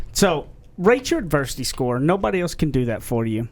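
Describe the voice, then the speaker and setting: He speaks with a Southern US accent. The voice is a man's. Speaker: podcast co-host and author. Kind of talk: casual podcast chat.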